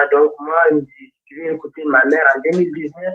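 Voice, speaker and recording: With a Fula accent, a man speaks at a fairly slow pace and a fairly high pitch. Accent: Fula-sounding. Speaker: caller converting to Islam. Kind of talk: testimony. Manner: halting.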